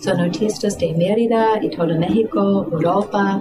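Speaking at a fairly slow pace with a non-native accent, a woman uses a fairly low pitch and ordinary pitch variation, with audible room echo and noticeable background noise. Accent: foreign accent in Spanish. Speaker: art event organizer. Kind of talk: interview.

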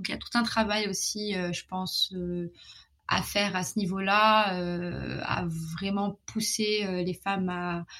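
A woman's fairly even intonation carries her very slow pace of speech. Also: medium pitch for a woman. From Morocco. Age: 20s. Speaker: sex education advocate and entrepreneur. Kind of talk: interview conversation. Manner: hesitant, many fillers.

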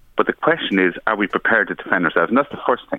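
With an Irish accent, a man talks very fast in a fairly low voice. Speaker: government minister. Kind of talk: radio interview. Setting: phone call.

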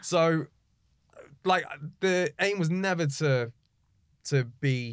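Against a silent background on a very clean recording, a man talks with a British accent. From Egypt, raised in the UK from age three. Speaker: radio presenter. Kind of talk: casual chat.

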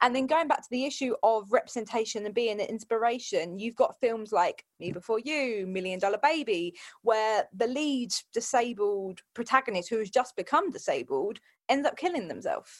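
A woman speaks in an unremarkable speaking voice at a fairly high pitch. Her pace is moderate and her intonation lively. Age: 20s. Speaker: fitness coach. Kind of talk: casual chat.

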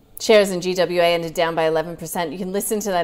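Her pitch medium with ordinary variation, a woman is speaking. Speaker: financial news show co-host. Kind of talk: casual market wrap-up chat. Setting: studio.

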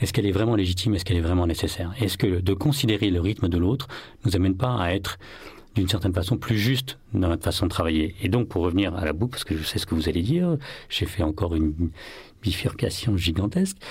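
At a very fast pace, a man with a very deep, low pitch speaks in a somewhat breathy voice with ordinary pitch variation. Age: 40s. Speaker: author and workplace well-being coach. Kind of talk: interview. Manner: hesitant, many fillers.

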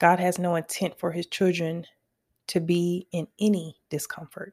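A woman's dark, mellow tone at a fairly low pitch and fairly slow pace, in a dry, close sound with no echo. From US West Coast, Los Angeles. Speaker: author, designer and music artist. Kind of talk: personal testimony monologue.

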